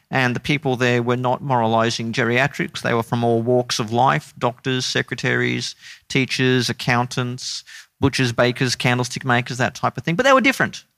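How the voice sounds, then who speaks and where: On a very clean recording with a silent background and a dry, close sound with no echo, a man with an Australian accent speaks at medium pitch and a moderate pace, his tone bright and sharp, his intonation fairly even. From Queensland, Australia (Brisbane). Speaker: theology lecturer. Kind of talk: interview conversation.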